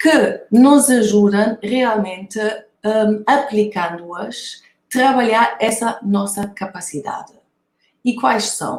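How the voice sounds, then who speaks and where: A woman's fairly high, somewhat breathy voice at a very slow pace, with ordinary pitch variation and a German accent. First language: German (speaking Portuguese). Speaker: author and lecturer on creativity. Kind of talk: conference talk. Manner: hesitant, many fillers.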